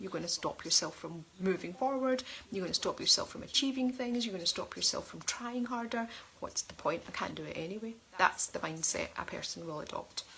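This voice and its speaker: A woman's fairly high, fairly quick voice with lively intonation and big swings in loudness. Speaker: life coach. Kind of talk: online coaching talk. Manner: fast; animated.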